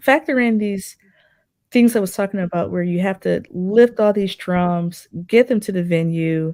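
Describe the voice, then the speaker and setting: This woman has a normal speaking voice at a medium pitch, with ordinary pitch variation and a fairly slow pace. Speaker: jazz drummer and professor. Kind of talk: interview.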